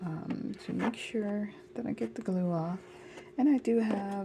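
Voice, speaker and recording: A soft-spoken, somewhat breathy woman with a dark, mellow tone, at a fairly slow pace. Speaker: dollhouse crafter. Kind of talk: tutorial.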